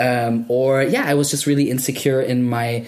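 Speech comes at a moderate pace with monotone, flat intonation. Noticeable background noise is present. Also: man. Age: 30s. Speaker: podcast host. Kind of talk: casual chat.

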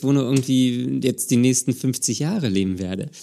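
Here a man talks at a medium pitch with ordinary pitch variation. His tone is dark and mellow. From Germany, Berlin. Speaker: podcast host. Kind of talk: casual chat.

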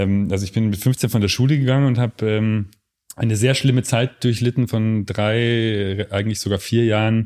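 A man speaks in a plain, everyday voice at a medium pitch and moderate pace, with fairly even intonation and very even loudness. The recording is very clean, with a silent background. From Lower Bavaria, Germany. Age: 30s. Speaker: photographer. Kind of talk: casual interview.

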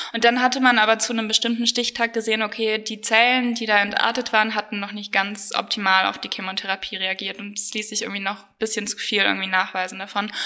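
With hardly any pauses, a woman rattles along at a very fast pace in a fairly high, monotone, flat voice against noticeable background noise. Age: 20s. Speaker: medical student with chronic illness. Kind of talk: personal testimony interview.

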